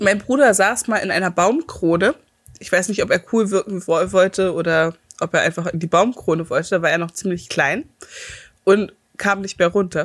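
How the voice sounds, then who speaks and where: A woman with a normal speaking voice talks at a medium pitch, her pitch varying in an ordinary way. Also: moderate pace. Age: 30s. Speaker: podcast co-host. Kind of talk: casual chat.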